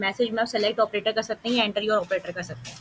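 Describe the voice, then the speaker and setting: A woman speaks with a fairly high pitch. Her intonation is fairly even. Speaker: coding teacher. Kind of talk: live coding class. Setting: online class with screen share. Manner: fast.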